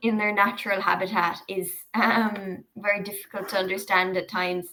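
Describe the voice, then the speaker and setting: In an Irish accent, a woman with a bright, sharp tone and medium pitch speaks at a moderate pace. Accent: Irish, milder than most. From Ireland, Cork (south). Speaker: online English tutor. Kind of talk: casual chat. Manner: clear, measured for learners.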